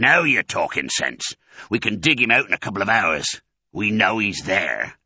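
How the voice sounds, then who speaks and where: A man's put-on character voice, growling and fairly low, at a moderate pace. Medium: read story.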